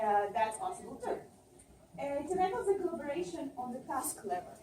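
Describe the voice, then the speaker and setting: A woman speaks at a moderate pace in a high, dark, mellow voice with very wide pitch swings. Audible room echo surrounds her. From Russia and Israel. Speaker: tech conference speaker. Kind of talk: conference presentation.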